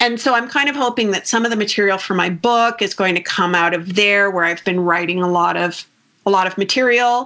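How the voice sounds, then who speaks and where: Using an ordinary speaking voice, a woman talks at a fairly quick pace and medium pitch. Her loudness is very even, and her pitch varies in an ordinary way. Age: 60s. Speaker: nutritionist. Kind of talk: interview.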